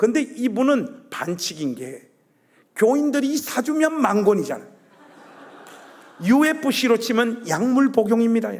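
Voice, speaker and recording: With an extremely high pitch and lively intonation, a man speaks at a fairly slow pace with long, frequent pauses. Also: big swings in loudness. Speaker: guest preacher. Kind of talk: sermon. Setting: church. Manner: animated.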